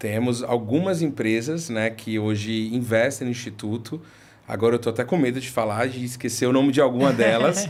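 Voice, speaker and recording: This man talks at a medium pitch and a moderate pace, his pitch varying in an ordinary way. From Recife, northeastern Brazil. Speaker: head of institutional relations at a social nonprofit. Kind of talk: interview conversation. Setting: videocast studio. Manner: hesitant, many fillers.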